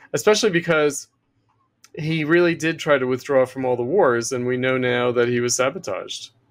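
Delivery is fairly quick, and the pitch varies in an ordinary way. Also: man. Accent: American. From US. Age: 50s. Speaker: political theorist. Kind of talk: interview. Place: home room. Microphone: webcam.

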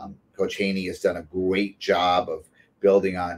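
A man at a moderate pace. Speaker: college basketball head coach. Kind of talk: casual chat. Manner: animated. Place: office. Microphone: video call.

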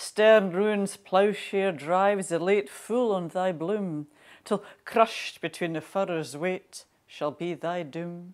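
A woman's very slow speech plays over a quiet background. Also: ordinary pitch variation. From Scotland. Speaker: national poet, poetry reader. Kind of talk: poem reading, older Scots verse. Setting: Burns Night special recording. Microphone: lapel.

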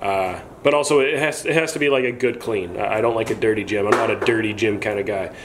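A man talks at a fairly quick pace, with noticeable background noise around him. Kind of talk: casual vlog chat. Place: garage. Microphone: phone near.

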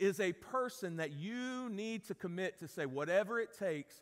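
A man speaks at a high pitch, his intonation lively. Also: moderate pace.

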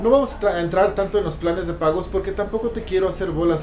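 Light noise in the background and a man's fairly quick delivery. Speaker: network marketing distributor and motivational speaker. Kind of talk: motivational monologue. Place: home room. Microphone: phone near.

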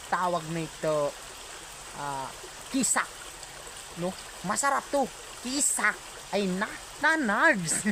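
Very slow speech with long, frequent pauses over noticeable background noise. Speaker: vlogger. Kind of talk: casual vlog. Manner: halting.

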